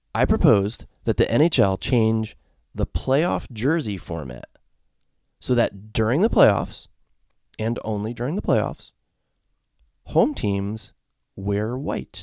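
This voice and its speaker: With an American accent, the speaker talks at a very slow pace, using lively intonation and long, frequent pauses. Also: man, medium pitch for a man. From Connecticut, US. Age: 40s. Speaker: podcast host, sports fan. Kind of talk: solo podcast commentary. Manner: casual, halting with repetitions.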